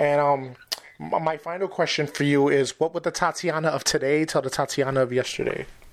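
The pace is fairly quick and the intonation fairly even. Noticeable background noise runs throughout. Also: man, fairly high pitch for a man. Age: 40s. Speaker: podcast host. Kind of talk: casual chat.

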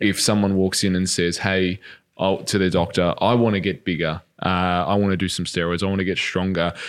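A man speaks in a very deep, low pitch with an Australian accent. The recording is very clean, with a silent background. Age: 30s. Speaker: podcast host, fitness trainer. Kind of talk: interview.

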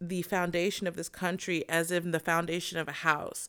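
A woman's fairly low voice with an American accent on a very clean recording with a silent background. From US South. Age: 30s. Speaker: podcast co-host. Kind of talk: casual chat.

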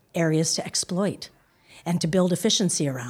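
A woman has an unremarkable speaking voice, fairly low in pitch. She talks at a moderate pace in an American accent. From US (Boston, Palo Alto). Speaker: business school dean and professor. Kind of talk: interview.

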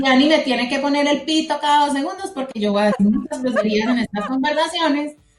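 Against noticeable background noise, a woman with a Colombian paisa accent talks at a high pitch with ordinary pitch variation. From Colombia, Manizales (raised; born Medellín). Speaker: podcast co-host, economist. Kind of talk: casual chat. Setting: remote call over internet.

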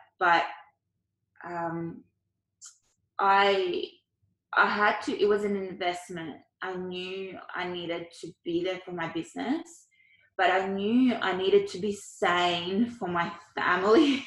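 A woman with an Australian accent speaks at a very slow pace with long, frequent pauses, big swings in loudness and ordinary pitch variation. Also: medium pitch for a woman. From Ukraine, moved to Australia as a child. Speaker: Chinese medicine doctor and doula. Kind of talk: casual interview. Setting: at home on couch, remote recording.

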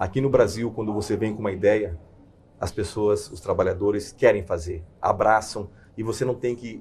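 A man speaks at a moderate pace. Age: 50s. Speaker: corporate executive. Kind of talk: interview. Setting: studio.

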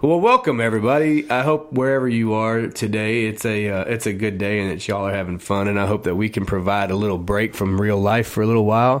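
Noticeable background noise sits behind a man with a fairly low pitch and ordinary pitch variation. He speaks at a very fast pace with hardly any pauses. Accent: Texas. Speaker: radio host. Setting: radio studio. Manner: animated; chatty and conversational, quick with a joke.

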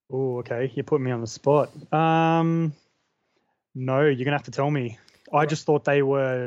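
Against a quiet background, a man with a fairly high pitch talks at a moderate pace with fairly even intonation and long, frequent pauses. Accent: Australian. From Australia. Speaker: horror blogger. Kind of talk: casual chat. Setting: video call.

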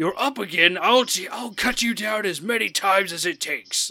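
Someone does a put-on character voice at a moderate pace. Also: man, high pitch for a man. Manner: menacing, taunting.

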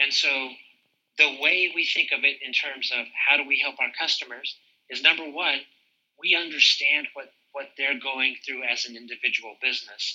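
A man speaks at a moderate pace with an American accent, his pitch fairly high and his intonation fairly even. His loudness swings widely, in a plain, everyday voice. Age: 50s. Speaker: fraud prevention executive. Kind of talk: interview.

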